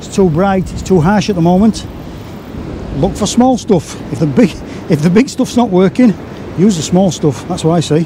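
With long, frequent pauses, a man speaks in a high voice with ordinary pitch variation, the sound dry with no echo and noticeable background noise. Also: moderate pace. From northern England, Yorkshire (Castleford). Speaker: photography vlogger. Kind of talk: casual vlog narration. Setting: outdoors on a windy beach. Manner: chatty, relaxed. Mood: relaxed, upbeat. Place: beach. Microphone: phone near.

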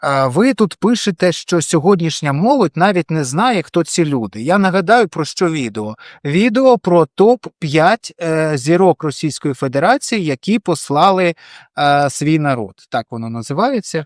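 On a very clean recording with a silent background and a dry, close sound with no echo, a man with a high pitch speaks at a fairly slow pace, his voice making very wide pitch swings. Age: 40s. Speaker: blogger and journalist. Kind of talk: casual to-camera vlog.

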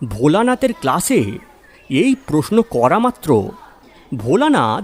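The clip features an unforced reading voice.

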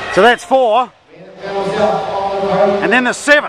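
A man uses a raised, projected voice with an animated tone and ordinary pitch variation over noticeable background noise. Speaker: track cycling commentator. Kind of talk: live race commentary. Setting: velodrome, race broadcast. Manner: animated, punchy call of sprints. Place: stadium.

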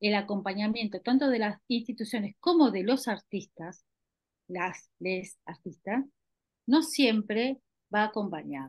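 Somewhat breathy and at a very slow pace, the voice carries lively intonation in a dry sound with no echo over a quiet background. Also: woman. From Buenos Aires, Argentina; Argentina. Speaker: dance video festival director. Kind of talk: panel discussion. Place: home room. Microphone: microphone problems; video call.

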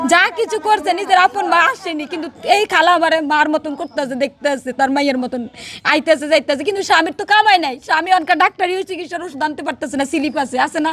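A woman's extremely high voice with ordinary pitch movement, some background noise audible. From Bangladesh, Noakhali (Hatiya). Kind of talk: emotional personal testimony.

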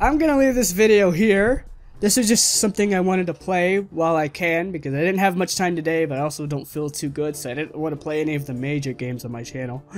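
Faint background music beneath a man's moderately paced speech. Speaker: gaming video creator. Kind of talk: casual gameplay commentary and outro.

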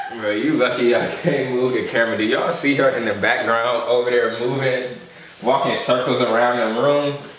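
A man at a moderate pace, with fairly even intonation, very even loudness, audible room echo and light background noise. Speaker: vlogger. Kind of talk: casual vlog chat. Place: home room. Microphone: camera far.

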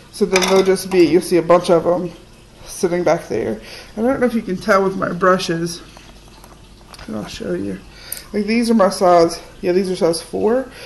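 A woman speaks at a medium pitch and a moderate pace, with ordinary pitch variation, long and frequent pauses, and noticeable background noise. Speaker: face painter and video creator. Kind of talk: tutorial. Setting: home video recording. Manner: casual with frequent fillers.

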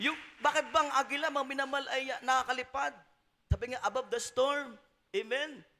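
This man's voice is raised and projected, with an extremely high pitch and a bright, sharp tone. He talks at a fairly quick pace in an animated tone. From Philippines. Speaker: preacher. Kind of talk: sermon. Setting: church. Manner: animated, exhortative, call-and-response with congregation. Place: church. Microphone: handheld.

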